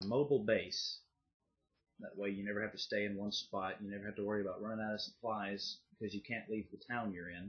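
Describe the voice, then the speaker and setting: Someone with a Southern US accent speaks with long, frequent pauses. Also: man. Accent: somewhat country Southern US. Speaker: YouTuber. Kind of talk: casual vlog monologue. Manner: casual, with filler pauses.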